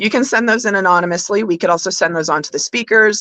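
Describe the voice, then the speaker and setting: Loud and bright with a sharp tone, a woman speaks at a medium pitch with ordinary pitch variation. The sound is dry and close, without echo. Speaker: podcast co-host. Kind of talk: live podcast discussion. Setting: live online stream.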